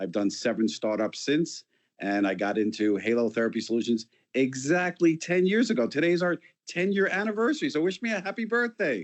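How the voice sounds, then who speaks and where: A man with a New York accent, fairly quick pace and very wide pitch swings. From New York City. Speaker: company founder and CEO. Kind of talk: interview.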